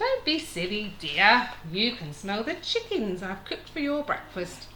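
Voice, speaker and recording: This female-sounding voice is a put-on character voice, high-pitched for a woman, with clear background noise behind it. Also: moderate pace. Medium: read story.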